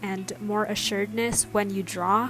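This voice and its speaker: A soft-spoken woman talks at a fairly slow pace in a calm tone with a medium pitch. Music plays in the background. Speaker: artist. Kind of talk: casual voiceover for a draw-with-me art tutorial. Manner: calm, soft.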